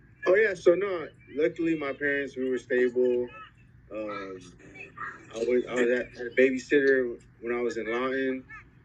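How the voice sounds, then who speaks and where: A man with an American accent at medium pitch, long frequent pauses, and noticeable background noise. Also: ordinary pitch variation, moderate pace. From California (Oxnard). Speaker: interviewee, parent. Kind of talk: casual interview. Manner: halting.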